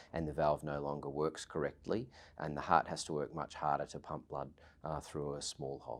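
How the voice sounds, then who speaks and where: Vocal fry marks a man's very deep, low voice as he talks at a moderate pace with fairly even intonation. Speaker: heart doctor. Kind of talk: medical explanation.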